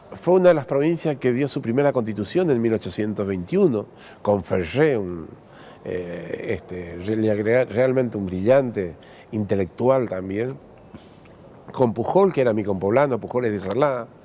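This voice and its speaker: At a moderate pace, a man with a medium-pitched voice speaks with lively intonation. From Argentina, Corrientes province. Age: 60s. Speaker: politician. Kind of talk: interview. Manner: halting.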